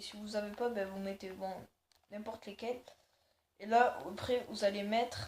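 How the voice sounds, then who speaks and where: A woman's medium-pitched, somewhat breathy voice at a moderate pace, with long, frequent pauses, flat monotone intonation and big swings in loudness. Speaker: gaming youtuber. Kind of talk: game tutorial. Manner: hesitant, many fillers.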